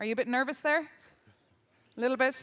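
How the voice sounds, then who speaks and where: A woman talks in an Irish accent. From Ireland. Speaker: journalist and debate moderator. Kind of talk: event moderation. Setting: conference stage with audience.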